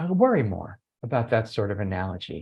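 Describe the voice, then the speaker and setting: A somewhat breathy man speaks with very wide pitch swings. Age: 60s. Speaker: education researcher. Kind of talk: webinar presentation. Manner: conversational, some filler hesitations.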